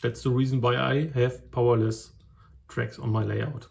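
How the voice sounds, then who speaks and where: Somewhat breathy, a man with a German accent speaks in a medium pitch with ordinary variation. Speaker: model railway hobbyist. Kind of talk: tutorial. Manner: halting.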